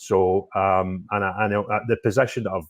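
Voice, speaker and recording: Recorded dry and close with no echo against a silent background, a man speaks in a fairly low pitch with a Scottish accent in a very clean recording. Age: 50s. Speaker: political YouTuber. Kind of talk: interview. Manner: loud.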